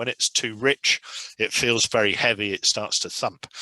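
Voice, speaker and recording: With an English accent, a man talks at a moderate pace in a bright, sharp tone. The sound is dry and close, with no echo. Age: 70s. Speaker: test pilot. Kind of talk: lecture. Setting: video call.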